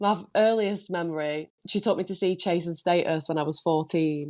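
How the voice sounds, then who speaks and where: This woman talks at a fairly quick pace with a Lancashire accent and a fairly low pitch. Her intonation stays fairly even over a quiet background. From northern England, Preston, Lancashire. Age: 20s. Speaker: DJ and producer. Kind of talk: podcast interview.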